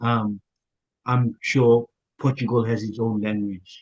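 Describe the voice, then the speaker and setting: Its tone is dark and mellow. The speech is somewhat breathy with fairly even intonation. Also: man. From Papua New Guinea. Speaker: YouTuber. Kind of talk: interview. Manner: hesitant.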